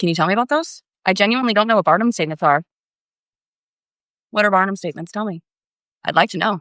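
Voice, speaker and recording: A woman at medium pitch with an American accent, ordinary pitch variation, and a very fast pace, on a very clean recording with a silent background and a dry, close sound with no echo. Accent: Floridian accent, comes out at times. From Florida. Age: 30s. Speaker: tarot reader livestreamer. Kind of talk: livestream tarot readings with chat. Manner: casual, chatty.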